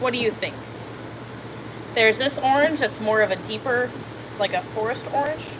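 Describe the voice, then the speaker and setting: A woman talks at a moderate pace while noticeable noise sounds in the background. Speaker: livestreamer and haunted house artist. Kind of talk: casual livestream chat while painting.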